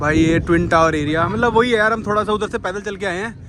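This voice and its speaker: A man's high-pitched, animated voice with a slight Marathi accent, at a moderate pace over noticeable background noise. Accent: slightly Marathi-tinged Hindi. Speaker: travel vlogger. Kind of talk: casual vlog narration. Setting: outdoors.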